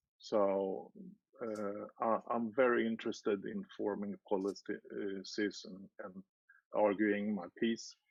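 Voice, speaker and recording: A man with a non-native accent speaks at a very slow pace in a fairly low voice, with fairly even intonation. His loudness swings widely, and the sound is dry and close with no echo. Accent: foreign. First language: not English. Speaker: party candidate. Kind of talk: interview. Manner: halting.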